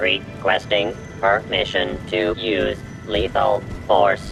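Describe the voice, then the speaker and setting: A man talks in a put-on character voice at a very slow pace. Loud background noise fills the clip. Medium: machinima. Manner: clipped, mechanical.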